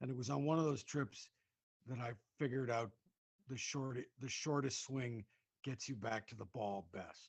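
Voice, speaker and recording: Man at medium pitch, somewhat breathy, moderate pace, ordinary pitch variation and long, frequent pauses. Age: 60s. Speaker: comedian. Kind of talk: casual chat. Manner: halting.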